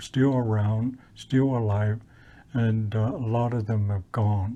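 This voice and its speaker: A man's medium-pitched voice, dark and mellow in tone, at a very slow pace with fairly even intonation, over a quiet background. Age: 70s. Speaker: residential school survivor, storyteller. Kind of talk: testimony. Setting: historical park presentation. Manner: halting, many fillers and repetitions.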